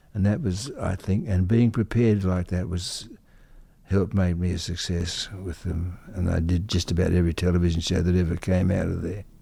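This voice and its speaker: Fairly even in intonation, a voice with an Australian accent and a dark, mellow tone moves at a moderate pace on a very clean recording with a silent background. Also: man, very deep, low pitch for a man. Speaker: conductor and composer. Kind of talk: interview. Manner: halting.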